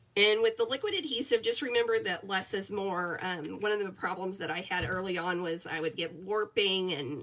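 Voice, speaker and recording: Speaking at a moderate pace, a woman has a medium pitch and a bright, sharp tone. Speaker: paper crafting demonstrator. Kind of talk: tutorial. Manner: casual, chatty.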